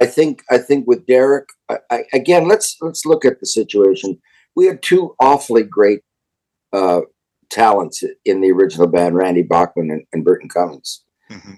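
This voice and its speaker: A man at medium pitch speaks at a moderate pace with a dark, mellow tone and vocal fry, his pitch swinging very widely. His loudness rises and falls a great deal, and the sound is dry and close with no echo. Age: 70s. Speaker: rock drummer. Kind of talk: interview.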